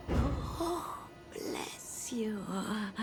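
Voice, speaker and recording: Someone speaks in a put-on character voice. Loud background noise runs throughout. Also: female-sounding voice. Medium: machinima. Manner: cryptic, eerie.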